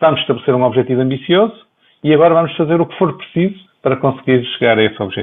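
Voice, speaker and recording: Talking at a very fast pace, a man with a medium pitch uses lively intonation and big swings in loudness. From northern Portugal, Viana do Castelo. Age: 50s. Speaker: health economist, professor. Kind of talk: interview. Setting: video call.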